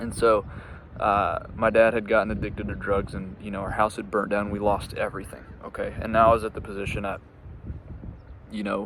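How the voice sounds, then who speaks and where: A man's fairly low-pitched voice with vocal fry, a fairly quick pace and long, frequent pauses. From US Midwest, Indiana. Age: 20s. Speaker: entrepreneur, business coach. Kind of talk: casual personal story to camera, unscripted. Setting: outdoors in a park, on a bench. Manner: halting, frequent fillers and repeats.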